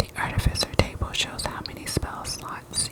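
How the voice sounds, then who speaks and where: Whispered words from a woman, fairly slow, against noticeable background noise. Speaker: ASMR creator. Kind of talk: reading aloud. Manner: whispering; soft-spoken.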